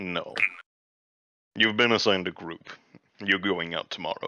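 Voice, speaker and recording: A man's put-on character voice at a moderate pace. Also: fairly low pitch for a man. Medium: actual play. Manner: terse, dry.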